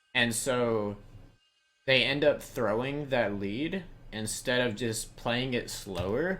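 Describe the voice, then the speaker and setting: A man with an American accent speaks at a very slow pace. His medium pitch shows ordinary variation. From US South. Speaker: video game coach. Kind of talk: coaching session.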